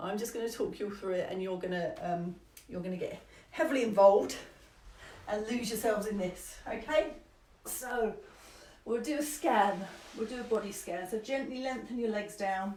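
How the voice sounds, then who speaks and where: A woman with a fairly high pitch speaks with long, frequent pauses, with audible room echo and noticeable background noise. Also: ordinary pitch variation. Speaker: somatic movement teacher. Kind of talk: guided movement class. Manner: fast, rambling.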